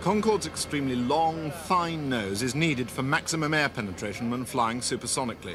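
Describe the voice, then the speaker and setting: Music plays in the background as a man with a fairly high pitch talks at a fairly quick pace with hardly any pauses. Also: lively intonation. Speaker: documentary reporter. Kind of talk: TV documentary narration.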